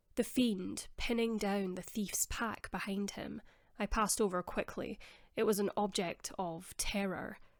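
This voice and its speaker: A woman of medium pitch with a Scottish accent speaks at a fairly slow pace and with fairly even intonation, on a very clean recording with a silent background. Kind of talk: audiobook reading. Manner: soft-spoken.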